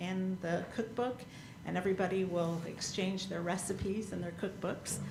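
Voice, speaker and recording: A woman with an American accent talks in a monotone, flat intonation amid noticeable background noise and audible room echo. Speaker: library director. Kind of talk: public meeting report. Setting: town council meeting.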